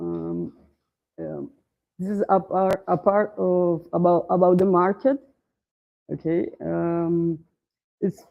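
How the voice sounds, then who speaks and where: A very slow-paced woman's voice in a Portuguese accent. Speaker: startup founder. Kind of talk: pitch presentation. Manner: halting, many fillers.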